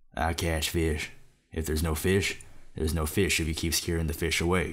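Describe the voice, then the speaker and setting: A man puts on a raspy character voice with a very deep, low pitch and monotone, flat intonation. He keeps a moderate pace and very even loudness. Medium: audio drama.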